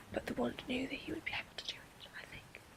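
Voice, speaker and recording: Through noticeable background noise, a woman whispers at a moderate pace. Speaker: ASMR roleplayer portraying a wandmaker's daughter. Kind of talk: soft-spoken ASMR roleplay lecture.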